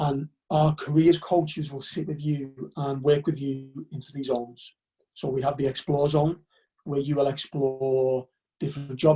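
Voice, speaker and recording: A man speaks in a Liverpool accent at a fairly high pitch, with a dark, mellow tone. His intonation is monotone and flat, and his voice is somewhat breathy. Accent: Liverpool (Scouse). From northern England, Liverpool. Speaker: university recruitment officer. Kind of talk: webinar presentation. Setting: live online webinar.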